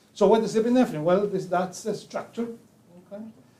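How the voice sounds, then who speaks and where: A man with audible room echo. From Chile. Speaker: pharmacology professor. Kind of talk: lecture. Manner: halting, many fillers.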